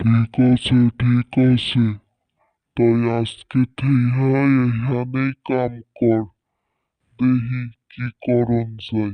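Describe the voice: A man's cartoonish character voice, very slow and flat, monotone in intonation. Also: medium pitch for a man, dry, close sound with no echo.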